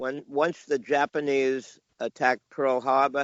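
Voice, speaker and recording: Medium-pitched speech from a man in a New York accent, at a fairly slow pace. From New York, Long Island (New Hyde Park, near Queens). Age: 70s. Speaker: comic book collector and dealer. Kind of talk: casual interview, storytelling. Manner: halting, with many fillers.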